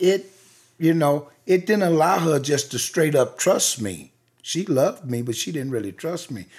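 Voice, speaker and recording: Recorded very cleanly over a silent background, a man with a Southern US accent speaks at a moderate pace, his pitch swinging very widely. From US South (rural). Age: 60s. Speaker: chef and cafe owner. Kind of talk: interview.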